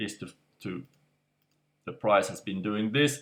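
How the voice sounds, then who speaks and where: This man's voice sits fairly low. The recording is very clean, with a silent background. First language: non-native English speaker. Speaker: crypto market analyst. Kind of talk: casual screen-share market analysis. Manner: slow, hesitant, trips over words.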